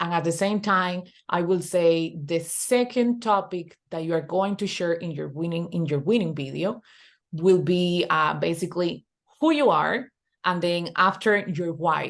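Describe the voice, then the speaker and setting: A woman's fairly low pitch and fairly slow pace, with a Spanish accent. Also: ordinary pitch variation, quiet background. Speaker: online business coach. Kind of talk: webinar tutorial. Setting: video call. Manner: halting, repetitive.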